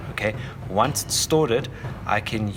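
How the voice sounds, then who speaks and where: With a South African accent, a man speaks at a moderate pace and a medium pitch, his intonation fairly even. Noticeable background noise is present. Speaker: Blender tutorial teacher. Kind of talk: tutorial. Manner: halting, many fillers and restarts.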